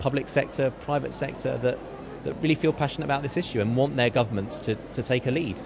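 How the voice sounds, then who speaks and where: A man speaks at a very fast pace with medium pitch and ordinary pitch variation. Noticeable background noise runs under his voice. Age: young. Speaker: charity campaigner. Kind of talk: interview.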